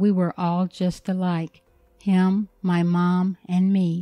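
A woman talks in a monotone, flat manner with an American accent. The sound is dry and close with no echo, and music plays in the background. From United States. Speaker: English teacher and story narrator. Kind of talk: reading aloud a story. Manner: clear, measured for learners.

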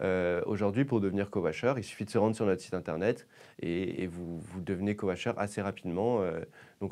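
A man talks at a fairly quick pace in a dark, mellow tone. His pitch varies in an ordinary way. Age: 20s. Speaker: startup founder. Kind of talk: interview. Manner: halting, many fillers and repetitions. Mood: calm, friendly. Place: studio. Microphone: lapel.

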